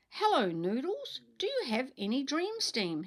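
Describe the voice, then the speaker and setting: A woman puts on a character voice, high in pitch with very wide pitch swings, at a moderate pace. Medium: read story.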